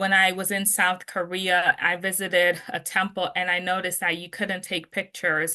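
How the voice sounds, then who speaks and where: A woman talks at a moderate pace with hardly any pauses, her medium-pitched voice bright and sharp in tone and her intonation flat and monotone. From Jamaica. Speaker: interview guest. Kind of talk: testimony.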